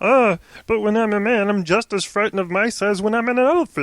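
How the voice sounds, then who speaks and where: A put-on character voice, fairly high in pitch, at a fairly quick pace. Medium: read story.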